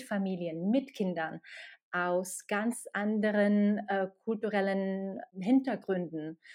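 A woman's medium-pitched voice with a dark, mellow tone and fairly even intonation, in a Slovak accent, on a very clean recording with a silent background. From Slovakia. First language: Slovak (speaking German). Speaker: HR expert at a games company. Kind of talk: interview.

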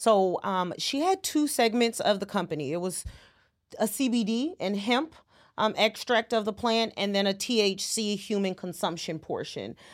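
Recorded very cleanly against a silent background, a woman with a plain, everyday voice speaks at a moderate pace, fairly high in pitch, with lively intonation. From California, San Francisco Bay Area. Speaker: accountant. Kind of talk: interview.

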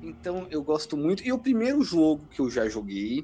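A man at a fairly slow pace in a quiet background. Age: 20s. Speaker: gamer. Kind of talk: casual chat.

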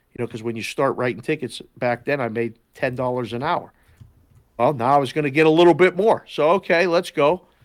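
A man speaks in an unremarkable speaking voice at a fairly quick pace, with an American accent. His pitch is fairly high, with ordinary pitch variation. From Pittsburgh, Pennsylvania. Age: 50s. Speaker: sports betting analyst, former oddsmaker. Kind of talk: casual chat.

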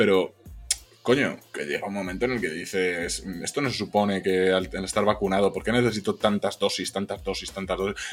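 Music plays in the background as a man speaks at a fairly low pitch and a fairly quick pace with fairly even intonation. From Spain, Zamora (Castile). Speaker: podcast co-host. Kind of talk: casual chat.

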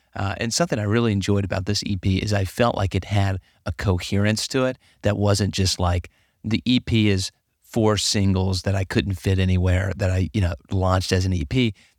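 In a very clean recording with a silent background and a dry, close sound with no echo, a man with a normal speaking voice talks fairly quickly at a fairly low pitch with fairly even intonation. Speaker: podcast co-host and PhD candidate. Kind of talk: casual interview conversation.

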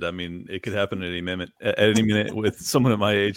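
Here a man has a normal speaking voice, fairly low in pitch, with fairly even intonation. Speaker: podcast guest.

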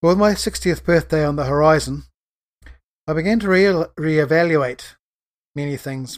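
At a moderate pace with long, frequent pauses, a man with a New Zealand accent speaks at a fairly high pitch with ordinary pitch variation. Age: 60s. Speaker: farmer and author, podcast host. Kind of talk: solo podcast monologue, casual and rambling. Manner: rambling, hesitant with fillers.

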